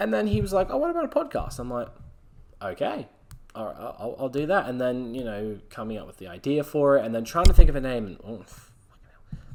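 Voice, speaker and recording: Loudness swings widely as a man speaks at a fairly quick pace in an Australian accent. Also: medium pitch for a man, lively intonation. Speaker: solo podcast host. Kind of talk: casual monologue. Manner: halting, many fillers.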